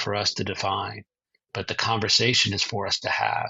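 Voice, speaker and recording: The speaker is a man. His voice carries vocal fry. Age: 60s. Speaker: author and publisher. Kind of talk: interview.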